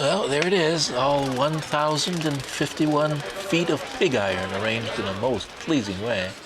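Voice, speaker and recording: Over noticeable background noise and audible room echo, a man with a fairly high pitch talks at a moderate pace with hardly any pauses, his pitch swinging very widely. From United States. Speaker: travel videographer. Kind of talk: travel vlog narration. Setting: outdoors in Paris, filming on the move. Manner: casual and chatty.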